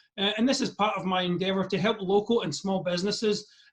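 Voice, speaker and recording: The voice carries a Scottish accent. Its pitch varies in an ordinary way. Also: man. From Scotland. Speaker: interviewer. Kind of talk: interview. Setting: video call.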